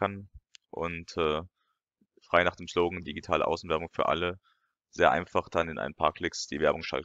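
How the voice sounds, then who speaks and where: A man's very deep, low voice with fairly even intonation, a quiet background, and a dry, close sound with no echo. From France. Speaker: YouTuber and lecturer. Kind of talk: video commentary. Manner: hesitant, many fillers.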